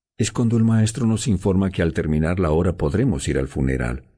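A man's solemn voice with a dark, mellow tone and vocal fry. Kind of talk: dramatic audiobook narration, first-person teen girl's story. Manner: solemn, emotional, slow and hushed, grief-laden.

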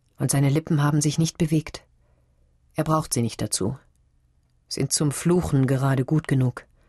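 Pausing long and often at a moderate pace, a woman with a very deep, low pitch speaks in an animated, dramatic tone, somewhat breathy, with very even loudness and a dry, close sound with no echo. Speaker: audiobook narrator. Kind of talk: dramatic audiobook narration of literary prose. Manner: animated, expressive, voicing characters with dramatic shifts; measured, lyrical pacing with pauses.

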